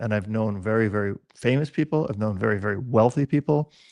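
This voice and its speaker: A man with an unremarkable speaking voice, medium pitch and ordinary pitch variation, dry, close sound with no echo, quiet background. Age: 60s. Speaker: dog trainer. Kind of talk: casual chat.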